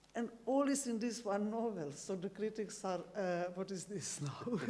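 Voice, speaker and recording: A dark, mellow tone at a moderate pace, with ordinary pitch variation and audible room echo. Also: woman. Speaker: novelist. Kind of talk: interview on stage. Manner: halting.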